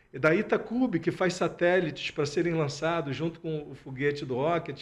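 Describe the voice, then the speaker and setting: Here a man talks with a strong Rio de Janeiro accent at a moderate pace. His pitch is fairly high with ordinary variation. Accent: strong carioca. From Rio de Janeiro, Brazil. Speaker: alumni association president. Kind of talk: radio interview. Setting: radio studio. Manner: hesitant, repeats words.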